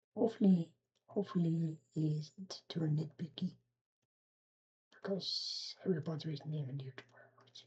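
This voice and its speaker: A woman speaks at a moderate pace in a dark, mellow, somewhat breathy voice of fairly low pitch, with ordinary pitch variation. Her loudness swings widely, and she leaves long, frequent pauses. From Belgium. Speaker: reaction video creator. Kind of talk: casual reaction commentary.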